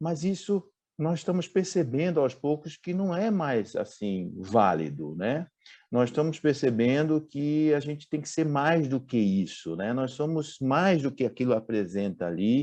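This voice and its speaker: A man's dark, mellow voice, fairly high in pitch and fairly slow, with very wide pitch swings, over a quiet background. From Brazil, Recife (Pernambuco). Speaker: executive recruiter. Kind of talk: talk to business audience. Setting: online event. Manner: hesitant, with fillers.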